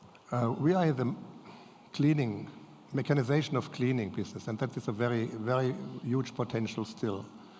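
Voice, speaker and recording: Audible room echo surrounds a man who speaks at a medium pitch with ordinary pitch variation and long, frequent pauses. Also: fairly quick pace. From Germany. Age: 70s. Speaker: family business owner. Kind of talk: audience Q&A; lecture. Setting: stage with audience. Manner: halting.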